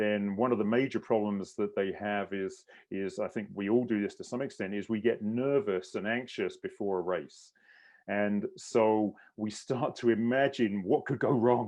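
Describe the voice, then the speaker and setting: Speaking at a moderate pace with fairly even intonation, a man with a British accent has a fairly low voice. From England. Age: 60s. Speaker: endurance coach and mindset specialist. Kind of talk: online clinic presentation.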